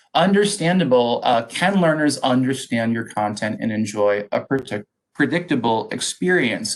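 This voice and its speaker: A normal speaking voice at a moderate pace. The intonation is lively. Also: man. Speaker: education technology presenter. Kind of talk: webinar presentation.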